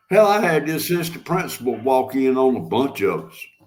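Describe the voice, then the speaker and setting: Here a man talks at a moderate pace. He has a Southern US accent. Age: 60s. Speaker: live-stream host. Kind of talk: casual chat. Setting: live stream.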